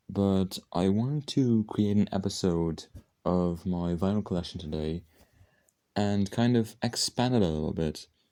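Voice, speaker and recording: Quiet and fairly slow, a man speaks at a fairly low pitch with a dark, mellow tone and ordinary pitch variation. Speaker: music collection vlogger. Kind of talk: casual video monologue. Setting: at home late at night. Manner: speaking quietly; halting, many fillers and restarts.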